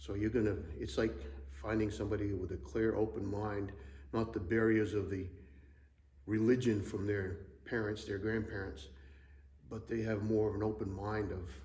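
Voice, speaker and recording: In a room with audible echo, a man with a fairly low pitch and vocal fry talks at a moderate pace in a dark, mellow tone, with ordinary pitch variation and long, frequent pauses. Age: 60s. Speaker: church member, Navy retiree. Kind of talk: interview. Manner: hesitant, many fillers.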